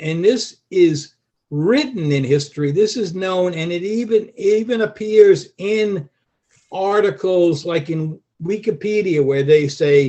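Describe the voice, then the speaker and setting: Speaking at a fairly slow pace, a man with a high pitch uses lively intonation. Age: 70s. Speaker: master carpenter and activist. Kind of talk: interview answers.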